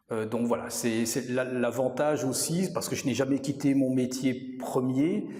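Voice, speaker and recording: Against noticeable background noise and audible room echo, a man speaks at a fairly slow pace and medium pitch. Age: 60s. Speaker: yoga teacher and accountant. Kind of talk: interview. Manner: halting, many hesitations.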